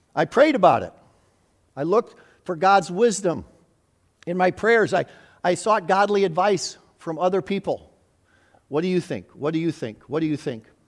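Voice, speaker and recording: Pausing long and often, a man with a high pitch speaks at a moderate pace with lively intonation. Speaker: preacher, retired school head. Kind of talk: sermon. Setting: church.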